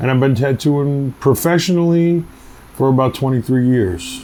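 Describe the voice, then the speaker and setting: A man with a New York accent speaks at a fairly slow pace with ordinary pitch variation, against noticeable background noise. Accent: New York City. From Queens, New York. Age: 40s. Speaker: tattoo artist. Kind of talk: documentary interview, casual storytelling. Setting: outdoors on a city street. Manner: casual, filler-heavy.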